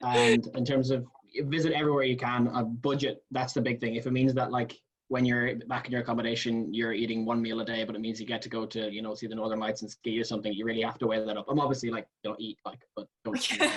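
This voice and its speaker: Someone with an Irish accent talks at a very fast pace in a flat, monotone way. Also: man, medium pitch for a man. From Ireland. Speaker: university student. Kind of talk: webinar panel discussion.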